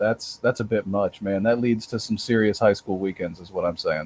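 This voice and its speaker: At a moderate pace, a man is talking. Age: 20s. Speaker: podcast guest. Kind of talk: casual chat. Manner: animated.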